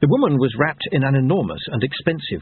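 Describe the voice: The text is given as plain reading aloud.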